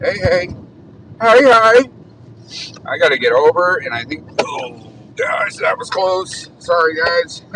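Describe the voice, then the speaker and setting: With an American accent, a man speaks very slowly with long, frequent pauses over noticeable background noise. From Arizona, Tucson. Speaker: live streamer. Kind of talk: casual live stream while driving. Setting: in a car.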